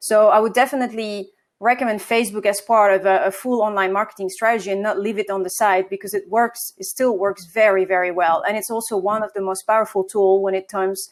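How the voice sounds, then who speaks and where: A woman at a medium pitch, fairly quick with hardly any pauses, and fairly even intonation. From France. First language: French. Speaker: marketing agency co-founder. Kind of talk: interview.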